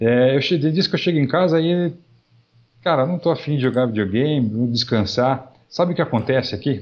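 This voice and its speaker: A man's ordinary speaking voice, fairly high in pitch, with ordinary pitch variation, very even loudness, and a fairly quick pace. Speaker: podcast co-host. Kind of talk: casual chat.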